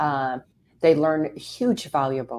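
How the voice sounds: A woman speaks with a slightly mellow tone and ordinary pitch variation.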